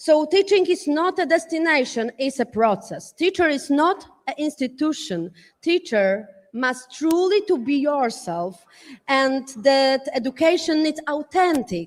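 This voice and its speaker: On a very clean recording with a silent background, a woman with a non-native accent speaks at a fairly slow pace in a high voice with very wide pitch swings. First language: not English. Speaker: panelist at education summit. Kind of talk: panel talk from notes. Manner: halting, many fillers and restarts.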